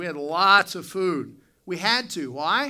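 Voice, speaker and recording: A man with an Appalachian accent speaks in a bright, sharp tone on a very clean recording with a silent background. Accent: Appalachian American. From West Virginia. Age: 40s. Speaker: pastor. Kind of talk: sermon. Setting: church. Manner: hesitant with frequent fillers.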